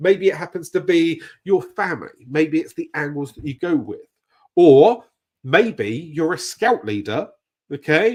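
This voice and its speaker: A man's animated, high voice in a British accent at a fairly slow pace, with very wide pitch swings. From Britain. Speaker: YouTube growth coach. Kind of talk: live stream tutorial. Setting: live stream. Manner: casual, animated.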